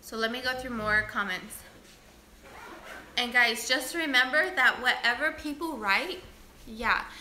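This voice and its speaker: Loud and bright with a sharp edge, a woman's high voice moves fairly slowly with ordinary pitch variation, long, frequent pauses and audible room echo. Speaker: beauty vlogger. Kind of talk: livestream chat reading comments. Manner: loud by nature; deliberately quiet.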